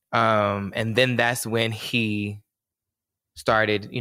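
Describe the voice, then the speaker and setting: A man with an American accent speaks at fairly low pitch in a bright, sharp tone. His intonation is monotone and flat, on a very clean recording with a silent background. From North Carolina, US South. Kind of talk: casual chat.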